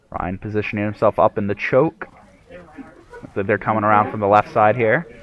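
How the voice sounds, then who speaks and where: Noticeable noise runs behind a man speaking at a moderate pace. His pitch is fairly low, with ordinary variation. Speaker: esports shoutcaster. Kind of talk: live commentary.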